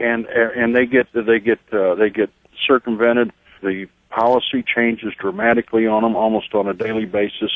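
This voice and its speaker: Speaking at a moderate pace with a Texan accent, a man keeps his intonation fairly even. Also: medium pitch for a man. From Texas border region. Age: 60s. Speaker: caller, border landowner. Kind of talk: call-in radio talk.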